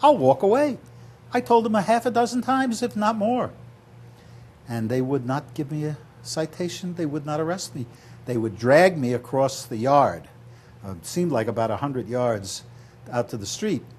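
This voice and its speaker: A man at fairly high pitch, somewhat breathy, speaks at a moderate pace with very wide pitch swings and long, frequent pauses. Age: 70s. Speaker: political candidate. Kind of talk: interview.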